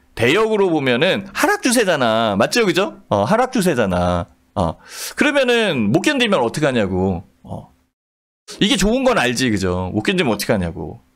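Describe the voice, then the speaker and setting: Against a quiet background, a man with a fairly high pitch sounds animated, his voice making very wide pitch swings and carrying vocal fry. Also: moderate pace. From South Korea. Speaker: stock market commentator. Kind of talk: live market commentary broadcast. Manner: animated, conversational.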